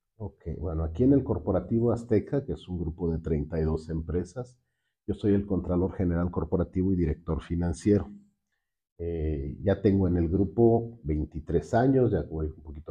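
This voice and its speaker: Somewhat breathy and very deep in pitch, a man speaks at a moderate pace with ordinary pitch variation. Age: 60s. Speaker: finance director and university lecturer. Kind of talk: interview.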